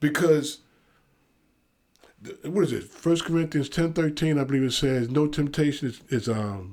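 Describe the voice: Speaking at a moderate pace, a man has a fairly high pitch and a slightly mellow tone.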